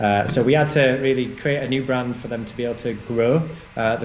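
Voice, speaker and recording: The speech moves at a very fast pace. Audible room echo and noticeable background noise come through. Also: man. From northern England, Barnsley, South Yorkshire. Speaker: designer, creative director. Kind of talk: interview chat. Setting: live online session. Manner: halting, many fillers.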